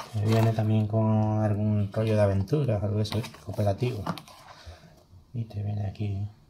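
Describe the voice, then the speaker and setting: Someone with an Andalusian accent speaks at a moderate pace with long, frequent pauses over noticeable background noise. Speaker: board game unboxer. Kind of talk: casual chat while unboxing a board game.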